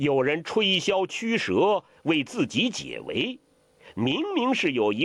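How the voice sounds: Natural voice, as if reading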